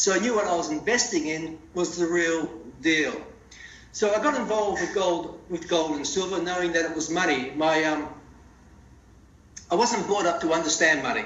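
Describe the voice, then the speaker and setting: Audible room echo and noticeable background noise surround a man with a high pitch. He speaks at a moderate pace with ordinary pitch variation and long, frequent pauses. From Australia, Melbourne area (rural dairy farm). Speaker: CEO of a precious metals company. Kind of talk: interview. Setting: phone call.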